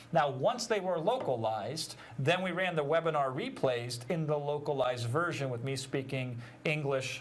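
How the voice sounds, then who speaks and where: A man talks with a fairly high pitch and lively intonation. Audible room echo surrounds his voice. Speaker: digital marketing trainer. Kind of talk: webinar teaching. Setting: live stream.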